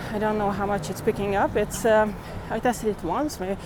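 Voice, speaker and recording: A woman with a non-native accent speaks at a fairly slow pace in a fairly high pitch, with noticeable background noise. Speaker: walking-tour vlogger. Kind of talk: casual vlog narration while walking. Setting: outdoors, walking city streets. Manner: casual, chatty, thinking aloud.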